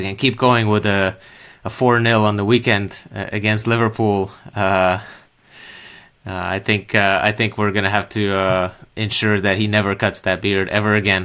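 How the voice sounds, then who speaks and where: Recorded very cleanly with a silent background, a man speaks at a moderate pace in a fairly low pitch, with a bright, sharp tone and monotone, flat intonation. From Slovakia. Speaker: football podcaster. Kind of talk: solo post-match talk show. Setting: live stream. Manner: hesitant, many fillers.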